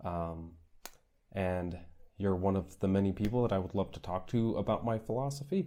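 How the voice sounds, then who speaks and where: Dark and mellow in tone, a man's fairly low voice shows ordinary pitch variation. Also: moderate pace. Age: 20s. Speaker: Peace Corps volunteer. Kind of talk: monologue to camera. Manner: hesitant, many fillers.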